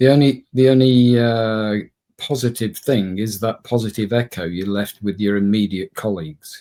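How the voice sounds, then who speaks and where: Dark, mellow male voice at medium pitch, moderate pace and ordinary pitch variation. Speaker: podcast co-host. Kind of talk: casual conversation.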